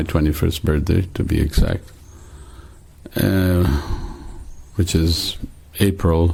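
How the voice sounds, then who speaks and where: A man speaks with a very deep, low pitch and fairly even intonation at a fairly slow pace. Noticeable background noise is present. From Trinidad. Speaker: religious devotee. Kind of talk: testimony. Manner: halting.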